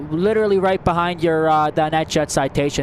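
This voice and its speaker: Noticeable background noise sits under the recording. A man talks at a fairly quick pace with a fairly high pitch. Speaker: plane spotting livestreamer. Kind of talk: live commentary, casual chat. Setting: outdoors at airport. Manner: fast; animated.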